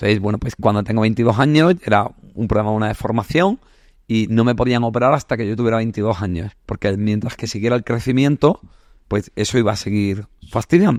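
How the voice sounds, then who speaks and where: At a fairly quick pace, a man with a medium pitch and ordinary pitch variation speaks in a dry, close sound with no echo on a very clean recording with a silent background. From southern Spain, Andalusia (Granada). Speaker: psychologist. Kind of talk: casual interview chat. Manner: animated, colloquial.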